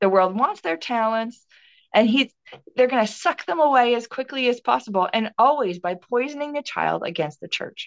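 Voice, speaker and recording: A woman with an American accent has an unremarkable speaking voice at a fairly high pitch, heard as a dry, close sound with no echo. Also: lively intonation, moderate pace. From Minnesota. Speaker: minister. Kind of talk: interview conversation.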